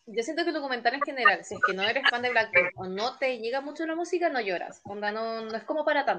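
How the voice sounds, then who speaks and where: Speech comes at a very fast pace. The intonation is lively. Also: woman, high pitch for a woman. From Chile, Concepción. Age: 20s. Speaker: fan club leader. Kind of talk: casual chat.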